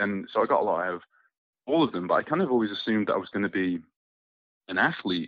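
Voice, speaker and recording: A man speaks at a very fast pace with a fairly low pitch. Long, frequent pauses break up his speech. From Scotland. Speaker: soap opera actor. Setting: phone call.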